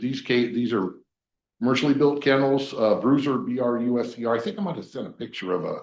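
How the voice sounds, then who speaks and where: Speaking very fast, a man keeps his voice at a medium pitch. Its pitch moves in a normal way. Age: 60s. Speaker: permit applicant at public meeting. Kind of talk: public hearing testimony. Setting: county planning commission meeting. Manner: hesitant, many fillers.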